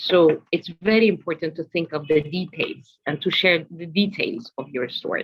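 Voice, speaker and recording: A woman with an Arabic accent speaks at a moderate pace with hardly any pauses. Her fairly low voice is somewhat breathy and shows ordinary pitch variation. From Egypt, Alexandria. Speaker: museum program producer, workshop speaker. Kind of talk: online workshop presentation. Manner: hesitant, many fillers.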